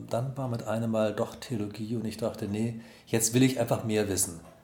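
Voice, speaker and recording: Audible room echo surrounds a man whose medium-pitched voice has a dark, mellow tone and monotone, flat intonation. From Germany (Solingen and Wuppertal, partly Tehran). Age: 50s. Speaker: pastor. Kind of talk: interview. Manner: hesitant with fillers.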